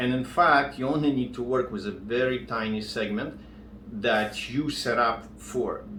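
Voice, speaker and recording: A man with a strong non-native accent speaks at a fairly slow pace and medium pitch, his intonation fairly even. The room has audible echo and noticeable background noise. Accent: strong foreign. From outside English-speaking countries. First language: not English. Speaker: contractor and business coach. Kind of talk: tutorial. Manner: halting, searching for words.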